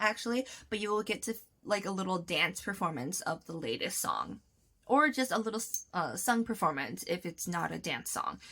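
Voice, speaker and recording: A woman speaks loudly at a moderate pace, her fairly high voice bright and sharp in tone with ordinary pitch variation. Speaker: vlogger. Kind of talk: casual tutorial vlog. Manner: chatty, many fillers.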